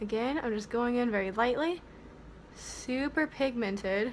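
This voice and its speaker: Over noticeable background noise, a woman speaks with an American accent at a moderate pace. Her voice is fairly high, with lively intonation. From United States, several states. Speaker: beauty vlogger. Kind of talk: tutorial. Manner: animated.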